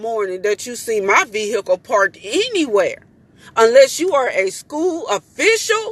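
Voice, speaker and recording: Over noticeable background noise, a woman speaks at a moderate pace in an animated tone with lively intonation. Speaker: mother. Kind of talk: vlog rant. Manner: loud.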